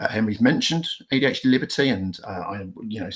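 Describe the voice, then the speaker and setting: Noticeable background noise sits behind this recording. A man with a British accent talks at a very fast pace. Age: 40s. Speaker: police officer and ADHD charity trustee. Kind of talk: conference talk. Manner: hesitant, many fillers.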